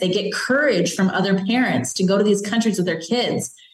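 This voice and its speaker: Speaking at a fairly quick pace, a woman with a Chicago accent talks at a medium pitch with ordinary pitch variation. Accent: Chicago American. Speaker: children's book author and former police officer. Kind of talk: interview conversation.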